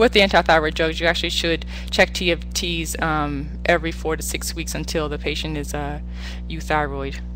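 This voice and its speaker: A woman talks at a moderate pace amid audible room echo, with music playing in the background. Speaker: physician. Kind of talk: lecture. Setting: webinar.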